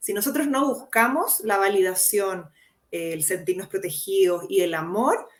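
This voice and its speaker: A woman talks at a fairly slow pace with a medium pitch. She uses lively intonation. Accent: Chilean. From Chile. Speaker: psychologist. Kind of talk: interview.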